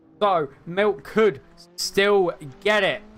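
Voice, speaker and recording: A man speaks while music plays in the background. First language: not English. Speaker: sim racing commentator. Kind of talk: live commentary. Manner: animated.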